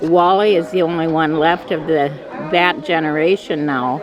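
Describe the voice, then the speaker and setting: With music in the background and audible room echo, a woman speaks at a fairly slow pace with ordinary pitch variation. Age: 80s. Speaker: family elder at reunion. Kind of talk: interview testimony.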